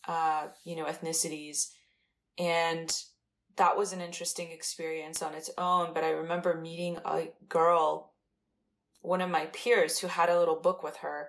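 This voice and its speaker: The speaker has a plain, everyday voice with fairly even intonation. The pace is moderate. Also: woman, fairly low pitch for a woman, big swings in loudness. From Iran, moved to the US as a child. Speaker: artist and writer. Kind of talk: casual interview.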